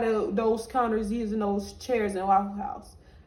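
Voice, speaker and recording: A woman speaks at a fairly slow pace with a fairly high pitch. Noticeable background noise is present. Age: 20s. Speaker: vlogger. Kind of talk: storytime monologue.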